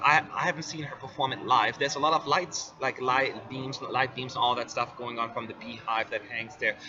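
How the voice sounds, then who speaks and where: Spoken in an American accent with ordinary pitch variation, the clip carries noticeable background noise. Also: man. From US, California. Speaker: Eurovision fan-site presenter. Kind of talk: live stream commentary. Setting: press center.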